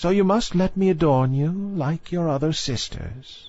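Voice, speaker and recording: At a moderate pace, a man uses a put-on character voice with a high pitch. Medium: read story. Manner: stately, firm.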